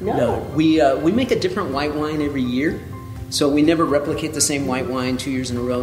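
Clear music plays in the background as a man talks at a fairly quick pace. His pitch variation is ordinary, and audible room echo fills the space. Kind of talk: interview answer.

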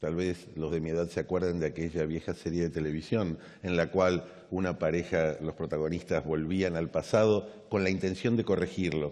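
A man talks at a moderate pace in a very deep, low pitch. His intonation stays fairly even. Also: quiet background. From Argentina. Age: 50s. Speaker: government official; government official on a panel. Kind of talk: conference speech. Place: stage.

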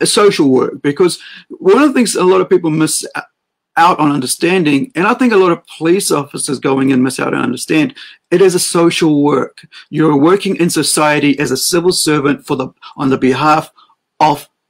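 Male speaker, moderate pace, ordinary pitch variation, background quiet. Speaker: livestream host. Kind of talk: opinion commentary. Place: home room. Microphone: webcam.

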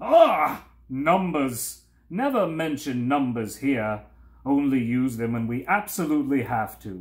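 In a put-on character voice, a man growls at medium pitch. His intonation is lively and his pace fairly slow. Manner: disgusted, growling.

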